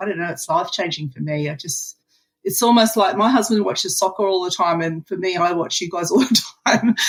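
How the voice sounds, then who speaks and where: With an Australian accent, a woman speaks at a medium pitch. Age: 60s. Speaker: retiree, program member. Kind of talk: interview.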